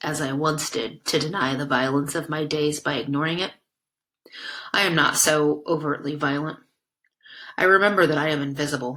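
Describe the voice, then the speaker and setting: A woman puts on a raspy character voice with a very deep, low pitch. She moves at a moderate pace, with long, frequent pauses. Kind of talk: literary first-person reading. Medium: read story. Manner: ironic, reflective.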